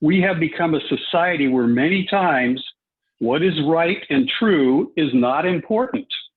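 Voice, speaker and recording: A man speaks with a high pitch. His intonation is lively. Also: fairly slow pace, very even loudness. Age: 70s. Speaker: public commenter. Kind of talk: public comment at meeting. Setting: conference call.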